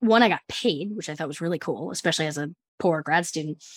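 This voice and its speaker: A woman with an ordinary speaking voice at a fairly quick pace, in a dry, close sound with no echo and a very clean recording with a silent background. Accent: American. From New Jersey, New York City area. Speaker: architect and educator. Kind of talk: interview.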